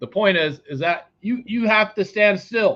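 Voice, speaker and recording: A man is shouting at a high pitch. He is loud, with lively intonation. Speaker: psychic tarot reader. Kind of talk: live tarot reading. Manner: loud, yelling; animated.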